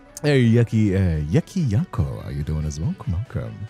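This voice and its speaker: Music plays in the background as a man speaks at a moderate pace with a fairly low pitch. His pitch swings very widely, and the sound is dry and close with no echo. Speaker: streamer, ASMR storyteller. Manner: casual, lots of filler words.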